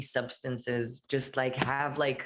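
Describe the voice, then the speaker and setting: A woman with an Israeli accent, very deep and low in pitch, in a monotone, flat delivery. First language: Hebrew. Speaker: musician. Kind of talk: interview. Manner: casual, hesitant with fillers.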